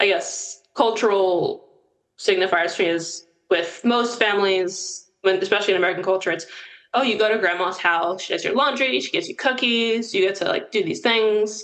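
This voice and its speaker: The speaker is a woman with a medium-pitched voice. Her pitch varies in an ordinary way. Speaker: interviewee. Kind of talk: interview. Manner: fast.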